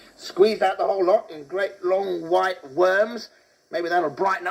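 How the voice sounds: The clip features a natural reading voice. It is a natural reading voice throughout.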